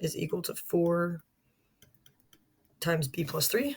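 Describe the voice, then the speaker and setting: Somewhat breathy and fairly low-pitched, a woman speaks at a fairly slow pace. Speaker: math teacher. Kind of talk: tutorial.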